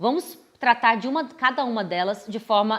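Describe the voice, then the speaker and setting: A woman speaks with a fairly high pitch. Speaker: law professor. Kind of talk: explainer video. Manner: formal.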